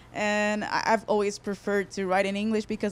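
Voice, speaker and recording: A woman speaks in a Portuguese accent at a moderate pace. Her pitch is medium and her intonation monotone and flat. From Portugal, Porto. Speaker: singer-songwriter. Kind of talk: interview. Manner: halting.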